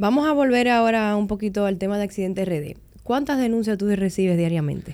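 A woman speaks at a medium pitch with a dark, mellow tone, ordinary pitch variation and a fairly quick pace. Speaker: podcast host. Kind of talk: interview.

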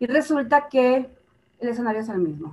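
Her pitch fairly high, a woman talks at a fairly slow pace with lively intonation. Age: 50s. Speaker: family systems therapist. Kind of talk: interview.

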